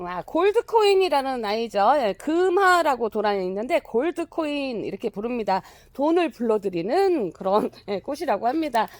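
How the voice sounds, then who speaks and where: Nearly pause-free speech on a very clean recording with a silent background. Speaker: plant nursery seller. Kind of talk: sales pitch. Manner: fast.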